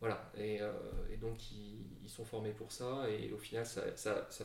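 There is audible room echo and noticeable background noise as a man speaks in a monotone, flat intonation. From Brussels, Belgium. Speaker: company co-founder. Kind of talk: interview. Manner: calm, reassuring; hesitant, many fillers.

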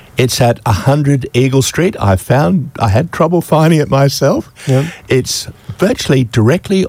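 An Australian accent marks this man's medium-pitched voice, which moves at a fairly slow pace with lively intonation. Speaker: community radio presenter. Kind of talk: casual chat. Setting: studio.

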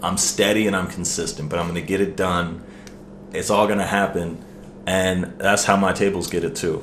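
A man with an American accent and a fairly low pitch at a moderate pace, with audible room echo. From US, Maryland. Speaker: restaurant server and musician. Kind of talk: casual chat.

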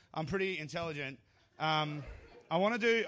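With an Australian accent, a man speaks very fast in an animated tone, his fairly high pitch carried by lively intonation. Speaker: comedian. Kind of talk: stand-up comedy. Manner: profane, animated, heckling the crowd.

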